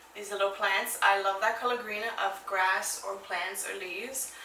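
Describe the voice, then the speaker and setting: A woman with a New York accent speaks at a moderate pace and a medium pitch, her tone animated. Audible room echo and noticeable background noise surround her voice. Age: 20s. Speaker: fitness vlogger. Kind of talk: casual Q&A vlog. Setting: at home. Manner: casual with filler words.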